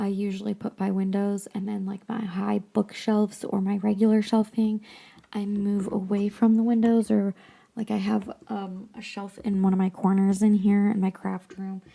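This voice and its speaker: A woman speaks at a medium pitch and a moderate pace. Her tone is dark, mellow and somewhat breathy, with a flat, monotone intonation. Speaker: podcast host. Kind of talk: casual book discussion podcast. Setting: home craft room. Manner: quieter than usual, speaking softly; hesitant, many ums and restarts.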